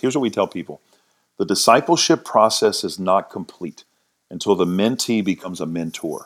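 A man with an ordinary speaking voice talks at a fairly low pitch. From US South (New Orleans, Louisiana). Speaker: pastor. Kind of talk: testimony.

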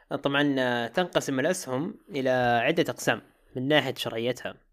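Recorded very cleanly against a silent background, a man talks at a moderate pace. His pitch is fairly high. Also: long, frequent pauses. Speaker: podcast production founder. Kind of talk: casual interview.

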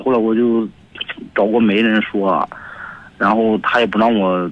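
A man talks at a moderate pace and medium pitch with fairly even intonation. His is an unremarkable speaking voice. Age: 20s. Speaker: radio caller. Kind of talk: phone call-in. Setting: phone call.

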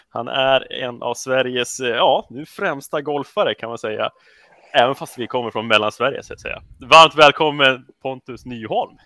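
In a normal speaking voice, a man of medium pitch talks at a moderate pace with ordinary pitch variation and big swings in loudness. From Sweden, Rättvik. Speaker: podcast host. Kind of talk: casual interview.

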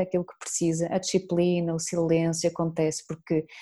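Her fairly low pitch and dark, mellow tone carry as this woman talks at a fairly quick pace. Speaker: podcast host. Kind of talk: interview.

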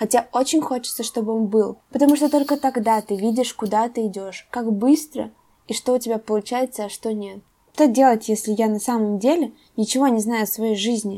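Moving at a moderate pace, a woman speaks at a fairly high pitch in a dark, mellow tone with ordinary pitch variation. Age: 20s. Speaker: podcast host, university student. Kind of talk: solo podcast monologue.

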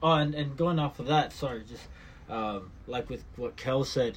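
The man's voice is somewhat breathy. He keeps a moderate pace and uses lively intonation. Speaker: musician. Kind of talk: casual chat.

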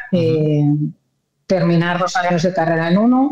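A woman's fairly low voice has a dark, mellow tone and ordinary pitch variation. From Spain, Madrid. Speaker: journalist and news anchor. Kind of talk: interview. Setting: remote call.

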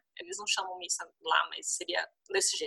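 At a moderate pace, a woman speaks. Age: 30s. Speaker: former travel blogger and volunteer teacher. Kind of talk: interview, personal storytelling.

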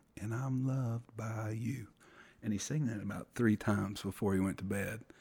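A man's medium-pitched voice in a dark, mellow tone with fairly even intonation, on a very clean recording with a silent background. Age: 40s. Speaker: guest sharing personal faith story. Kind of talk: testimony. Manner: halting, many fillers.

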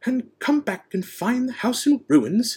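A man's put-on, growling character voice, extremely high in pitch, with lively intonation at a fairly slow pace. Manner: snarling.

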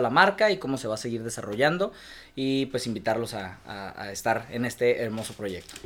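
A man with a normal speaking voice sits at a medium pitch, with ordinary pitch variation. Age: 30s. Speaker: restaurant and café owner. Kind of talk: casual chat.

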